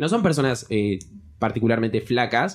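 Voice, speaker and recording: A man with a Rioplatense accent at a very fast pace. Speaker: podcast co-host. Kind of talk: casual chat.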